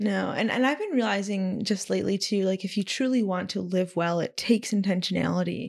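With an ordinary speaking voice, a woman talks at a fairly quick pace and medium pitch, showing ordinary pitch variation and hardly any pauses. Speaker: podcast guest. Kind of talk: casual interview conversation. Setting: in person recording.

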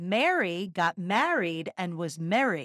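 A raspy, fairly slow put-on character voice in a Philadelphia accent. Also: female-sounding voice. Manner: demonstrating a dialect.

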